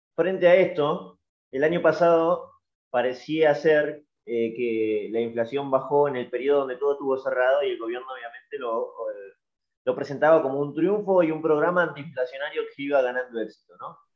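The speaker has a Rioplatense accent. The pace is moderate. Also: man, fairly high pitch for a man, ordinary pitch variation. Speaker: podcast host. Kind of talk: interview.

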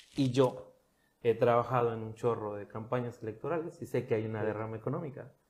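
This man has an unremarkable speaking voice pitched in the medium range. He talks at a fairly quick pace with fairly even intonation. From Mexico, Cancún. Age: 30s. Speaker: marketing professional and government communications official. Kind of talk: casual interview chat. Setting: office studio.

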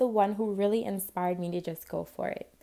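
A woman speaks at medium pitch with a New York accent. Her tone is dark and mellow, and her pace is fairly quick. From New York City (Spanish Harlem). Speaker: podcast host, home cook. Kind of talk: personal storytelling monologue. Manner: casual, conversational.

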